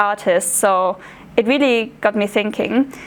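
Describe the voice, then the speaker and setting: A woman with a German accent speaks in a fairly high pitch amid noticeable background noise. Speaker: art history student intern. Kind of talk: public talk. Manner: halting, many fillers.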